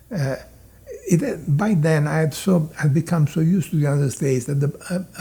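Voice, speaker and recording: A man with a slight Italian accent speaks at a fairly slow pace, his fairly high pitch showing ordinary pitch variation. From Italy. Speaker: immigrant telling life story. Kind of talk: interview reminiscence. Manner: halting, many fillers.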